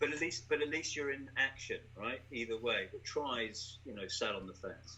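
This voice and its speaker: The speaker has an English accent and ordinary pitch variation. The pace is moderate. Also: man, medium pitch for a man. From England. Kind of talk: casual conversational interview.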